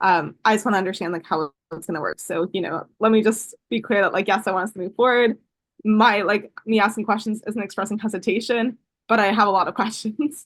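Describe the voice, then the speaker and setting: At a fairly quick pace, a woman talks at medium pitch with fairly even intonation. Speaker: panel guest, entrepreneur. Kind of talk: panel discussion. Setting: video webinar. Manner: fast; direct.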